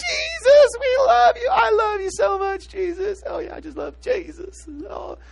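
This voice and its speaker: A put-on character voice at an extremely high pitch with very wide pitch swings, moderate pace, and clear background noise. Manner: sweet, devout, repetitive.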